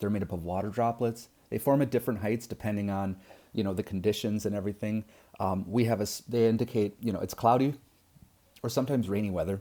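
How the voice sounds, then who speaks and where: This man talks at a very fast pace with a fairly low pitch. His tone is dark and mellow. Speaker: science teacher. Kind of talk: lecture. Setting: recorded video lesson. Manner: casual, many fillers.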